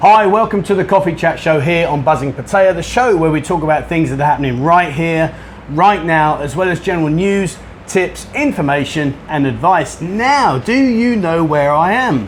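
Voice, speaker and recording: In a London accent, the speaker uses lively intonation at a moderate pace, with noticeable background noise behind the voice. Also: man, high pitch for a man. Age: 50s. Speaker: vlogger. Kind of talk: casual chat. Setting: bar.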